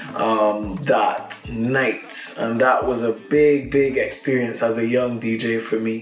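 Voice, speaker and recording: Over music in the background, a man speaks at a very slow pace in a medium pitch, with fairly even intonation and hardly any pauses. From Barbados. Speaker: professional DJ. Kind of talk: interview.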